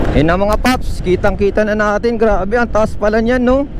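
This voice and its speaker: A man speaks with ordinary pitch variation. Noticeable background noise and audible room echo surround him. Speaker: motorcycle travel vlogger. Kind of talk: vlog narration. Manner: animated.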